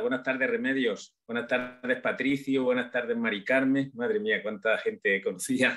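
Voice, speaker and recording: Light background noise accompanies a man's voice. He moves at a moderate pace with ordinary pitch variation. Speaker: audience member. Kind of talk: casual spoken thanks and remarks. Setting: video call. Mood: warm, emotional, grateful. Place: home room. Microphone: video call.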